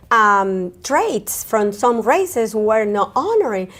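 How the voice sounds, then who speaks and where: A woman speaks with a Spanish accent at a fairly high pitch. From Colombia, Caribbean coast. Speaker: therapist. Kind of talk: interview. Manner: halting.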